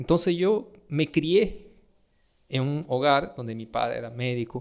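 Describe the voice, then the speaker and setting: Here a man talks at a fairly slow pace with a fairly high pitch and lively intonation. His loudness swings widely. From Brazil. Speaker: doctor. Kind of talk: casual podcast chat.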